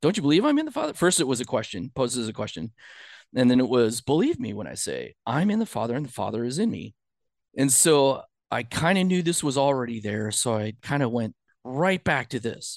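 On a very clean recording with a silent background, a man with an unremarkable speaking voice talks fairly quickly at a medium pitch with lively intonation. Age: 50s. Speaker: churchgoer, former engineering student. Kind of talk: casual chat.

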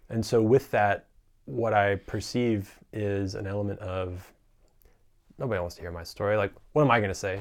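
On a very clean recording with a silent background, a man with an ordinary speaking voice and fairly low pitch speaks at a moderate pace. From US South, North Carolina. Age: 20s. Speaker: filmmaker and entrepreneur. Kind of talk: casual interview.

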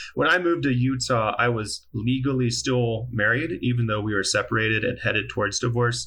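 With an American accent, the speaker talks at a moderate pace. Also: man. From US South, Mississippi. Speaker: podcast guest, divorcee. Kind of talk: casual chat.

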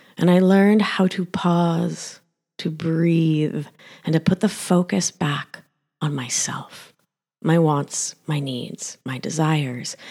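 A woman's normal speaking voice with an American accent, fairly low in pitch, fairly slow in pace, with ordinary pitch variation. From Argentina and Rhode Island, US. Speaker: podcast host, nurse practitioner and life coach. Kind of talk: personal story, monologue.

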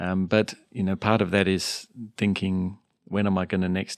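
In a very clean recording with a silent background and a dry, close sound with no echo, a man with a very deep, low pitch talks at a moderate pace in a monotone, flat intonation. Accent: Australian. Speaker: addiction medicine doctor. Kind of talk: casual interview as co-host.

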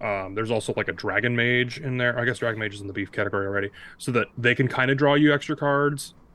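A man speaks at a very fast pace with hardly any pauses. His tone is bright and sharp, at a medium pitch with ordinary pitch variation. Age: 30s. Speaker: card game player. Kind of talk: casual chat.

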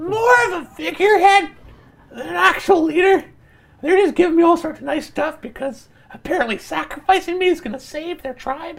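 The speaker puts on a high-pitched character voice and talks at a fairly quick pace. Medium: actual play. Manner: fast, bossy, scheming.

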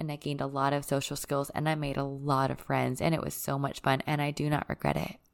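Soft-spoken and warm in tone, a woman with a very deep, low voice is captured on a very clean recording with a silent background. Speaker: podcast host and retreat leader. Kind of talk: solo podcast monologue, personal and spiritual. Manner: soft-spoken, reserved; warm, reflective.

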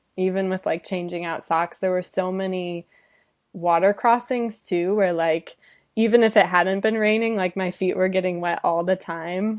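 A woman with an American accent speaks in a normal speaking voice at a medium pitch and moderate pace. Her intonation is fairly even, and the background is quiet. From Michigan, Detroit suburbs. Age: 20s. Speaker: endurance and obstacle racer. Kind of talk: interview.

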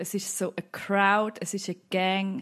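A woman speaks with a Swiss accent. Her pitch is medium, and the background is quiet. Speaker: mother of four. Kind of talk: casual chat.

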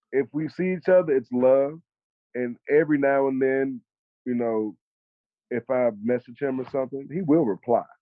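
A man with an American accent at medium pitch, moderate pace, ordinary pitch variation, and long, frequent pauses. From US South, Mobile, Alabama. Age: 30s. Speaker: songwriter. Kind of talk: casual interview chat.

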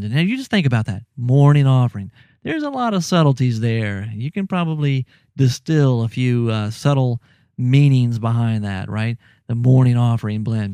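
In a Southern US accent, a man with a dark, mellow tone and medium pitch speaks at a moderate pace with lively intonation, on a very clean recording with a silent background and a dry, close sound with no echo. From US South, Louisiana. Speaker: podcast host. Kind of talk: casual chat. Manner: animated, laughs often.

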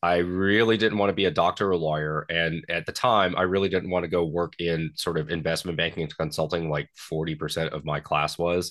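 Over a quiet background, a man with an American accent talks at a fairly quick pace with hardly any pauses, a very deep, low pitch and fairly even intonation. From Western Kentucky, US. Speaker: shooting sports association president, Marine veteran. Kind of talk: interview.

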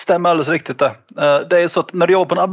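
A man is talking. Noticeable background noise runs underneath. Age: 30s. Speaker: trade union representative. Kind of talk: explanatory interview.

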